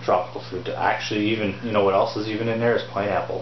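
A man at a fairly quick pace, fairly low in pitch, with little pitch movement and clear background noise.

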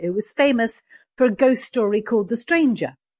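A woman with a high pitch, on a very clean recording with a silent background and a dry, close sound with no echo. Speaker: crime novelist. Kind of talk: interview.

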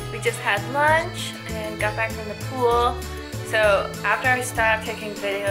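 Clear background music behind a woman's voice. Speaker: travel vlogger. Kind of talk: casual vlog chat. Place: home room. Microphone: phone near.

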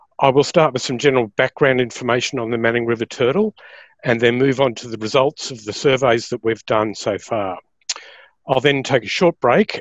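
Recorded with a dry sound with no echo and a quiet background, a man talks at a moderate pace with ordinary pitch variation. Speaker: presenter. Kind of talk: lecture. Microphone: webcam.

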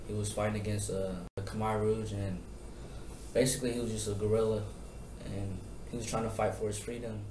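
Speaking with an American accent, a man is heard with audible room echo and light background noise. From Tacoma, Washington. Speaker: child of refugees telling his story. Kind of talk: interview answer. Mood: serious, reflective. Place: classroom. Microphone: camera far.

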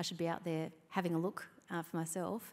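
In an Australian accent, a woman talks at a very fast pace with a fairly low pitch and ordinary pitch variation. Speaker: state government minister; government minister on panel. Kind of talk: onstage interview. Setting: stage with audience. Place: hall. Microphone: handheld.

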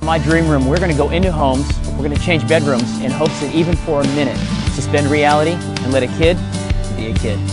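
A man talks at a very fast pace over loud background music. The sound is dry with no echo. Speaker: TV host. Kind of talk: TV show host intro. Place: garden. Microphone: lapel.

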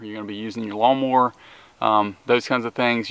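A man talks at a very fast pace with fairly even intonation. The sound is dry, with no echo. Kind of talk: tutorial. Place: garden.

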